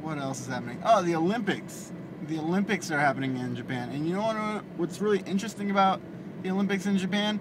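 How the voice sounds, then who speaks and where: Mumbling at a very fast pace, a man speaks at a high pitch over noticeable background noise. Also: ordinary pitch variation. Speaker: vlogger. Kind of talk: casual vlog monologue while driving. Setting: in a car. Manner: mumbles. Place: car. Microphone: phone near.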